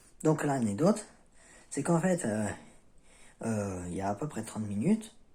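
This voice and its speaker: Somewhat breathy, a man speaks at a moderate pace. His medium pitch makes very wide swings. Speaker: self-help video creator. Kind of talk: casual vlog talk. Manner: halting, many fillers.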